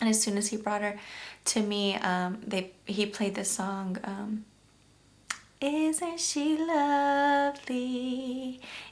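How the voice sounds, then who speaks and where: A shaky woman's voice, fairly high in pitch, at a very slow pace with lively intonation and audible room echo. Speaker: YouTube vlogger, new mother. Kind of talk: personal storytelling vlog. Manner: emotional, shaky.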